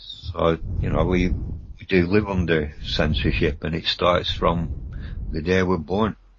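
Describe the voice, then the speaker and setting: A man speaks at a very slow pace in a very deep, low pitch. Noticeable background noise runs behind him. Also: ordinary pitch variation. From Rhodesia (Zimbabwe), Bulawayo. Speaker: paranormal radio guest. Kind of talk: radio interview. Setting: radio show.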